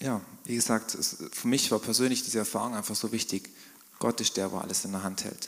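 A man talks in a normal speaking voice at a fairly quick pace. His pitch sits in the medium range, with fairly even intonation. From southwestern Germany, Swabian Jura. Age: 30s. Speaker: business owner. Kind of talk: church interview testimony.

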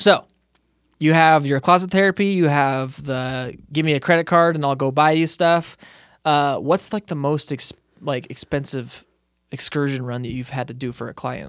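A man with a normal speaking voice talks at a moderate pace. His pitch is fairly high with ordinary variation, in a very clean recording with a silent background. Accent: American. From Southern California (Moreno Valley). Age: 30s. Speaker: podcast host. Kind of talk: casual interview chat.

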